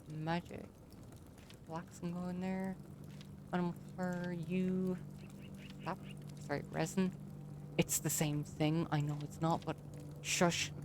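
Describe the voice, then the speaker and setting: With an Irish accent, a woman mumbles at a fairly slow pace in a monotone, flat delivery, her fairly low pitch broken by long, frequent pauses. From Ireland. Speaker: gaming streamer. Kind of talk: casual gameplay commentary. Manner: mumbling.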